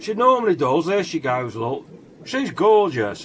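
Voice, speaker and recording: A man speaks with an English accent. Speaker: fish keeper vlogger. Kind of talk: casual video commentary. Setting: fish room. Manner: loud; halting, many fillers. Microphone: mobile phone against the glass.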